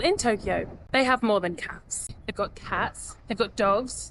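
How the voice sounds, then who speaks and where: A woman in a British accent speaks at a moderate pace with a fairly high pitch. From UK. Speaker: travel vlogger. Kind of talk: casual vlog talk to camera.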